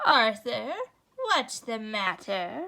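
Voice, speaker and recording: A woman performs a put-on character voice at a fairly high pitch. Her pitch swings very widely. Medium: read story. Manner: warm, gently correcting.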